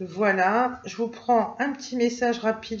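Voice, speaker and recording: Over noticeable background noise, a woman speaks at a moderate pace in a fairly high voice with ordinary pitch variation. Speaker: tarot and oracle card reader. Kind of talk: oracle card reading for viewers. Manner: hesitant, many fillers.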